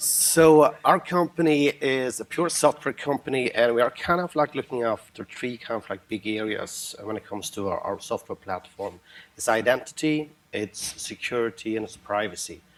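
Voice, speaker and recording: A man with a Norwegian accent at medium pitch, lively intonation, big swings in loudness and a moderate pace, over noticeable background noise. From Norway. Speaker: software company founder and CTO. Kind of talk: panel discussion.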